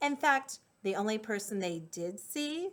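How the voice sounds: Lively intonation marks a natural reading voice.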